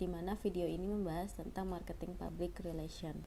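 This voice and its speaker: Audible room echo is present. A woman talks within it. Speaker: university student, video reactor. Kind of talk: casual vlog intro.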